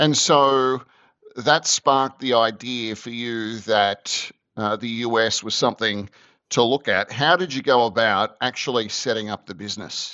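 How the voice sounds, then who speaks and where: A man with an Australian accent speaks at a fairly slow pace with ordinary pitch variation. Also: medium pitch for a man. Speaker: podcast host. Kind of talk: interview.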